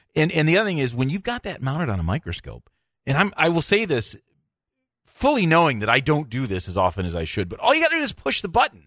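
A man talks at a very fast pace with a fairly high pitch. His voice has vocal fry and very wide pitch swings. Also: quiet background. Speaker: dentist podcast host. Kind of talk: casual interview chat.

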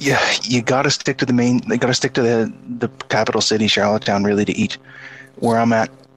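Music plays in the background as a man talks very fast. His intonation stays fairly even. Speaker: Freemason guest. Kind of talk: casual chat.

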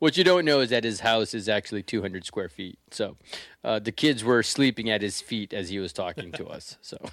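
With a plain, everyday voice, a man talks at a medium pitch and a fairly quick pace with lively intonation. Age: 50s. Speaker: podcast host. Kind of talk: casual chat. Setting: video call.

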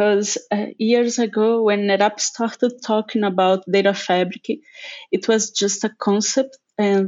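Speaking in a Portuguese accent at a medium pitch, a woman goes at a fairly slow pace with monotone, flat intonation. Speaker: technical lead. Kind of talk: casual chat. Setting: remote call.

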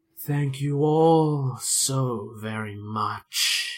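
A man's put-on character voice at medium pitch, with hissing. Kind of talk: gloating, sinister.

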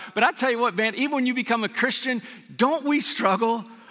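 Projecting a raised voice at an extremely high pitch, a man talks very fast with ordinary pitch variation against noticeable background noise. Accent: American. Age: 40s. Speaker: pastor. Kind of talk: sermon. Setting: church service with live audience.

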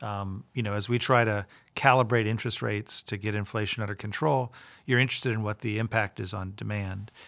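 A man with a normal speaking voice, fairly low in pitch and fairly quick in pace, on a very clean recording with a silent background. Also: fairly even intonation. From Florida, Tampa. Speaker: central bank president. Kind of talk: interview. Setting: in person.

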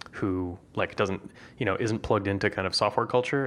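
A man with a normal speaking voice, fairly even intonation, and a fairly quick pace. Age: 40s. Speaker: podcast host. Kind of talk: casual chat.

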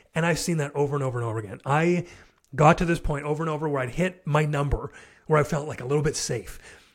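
Very fast and somewhat breathy, a man speaks at a fairly high pitch. His pitch variation is ordinary. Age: 30s. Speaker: entrepreneur and fatherhood podcaster. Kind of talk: casual interview.

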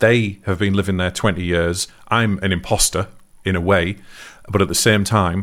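Recorded very cleanly against a silent background, the voice has a fairly bright tone, fairly even intonation and a moderate pace. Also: man, low pitch for a man.

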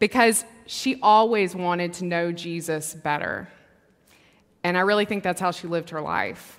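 A woman with a Southern US accent, her pitch fairly low, at a moderate pace. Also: ordinary pitch variation. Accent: Southern American. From US South, Mississippi. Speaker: preacher. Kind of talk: sermon. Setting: church.

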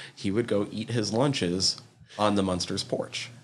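Here a man talks at a moderate pace with a fairly low pitch. It is a plain, everyday voice. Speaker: podcast host. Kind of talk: casual chat.

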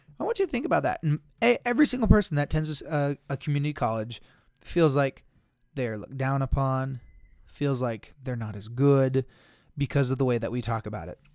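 With an unremarkable speaking voice, a man of fairly high pitch talks at a fairly quick pace with ordinary pitch variation, recorded very cleanly against a silent background with a dry, close sound and no echo. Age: 30s. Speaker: school counselor and podcast host. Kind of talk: solo podcast talk, partly reading an article aloud.

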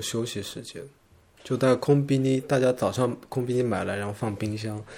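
The man's voice is dark and mellow in tone, at a moderate pace. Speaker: graphic designer. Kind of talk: casual chat.

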